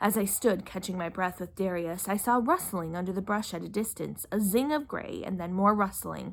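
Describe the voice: Plain read-aloud speech, its pitch varying in an ordinary way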